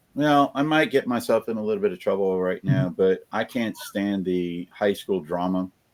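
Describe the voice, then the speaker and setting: With an American accent and an unremarkable speaking voice, the speaker talks at a moderate pace with lively intonation and hardly any pauses. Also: man, fairly low pitch for a man. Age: 60s. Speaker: reseller. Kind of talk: casual chat.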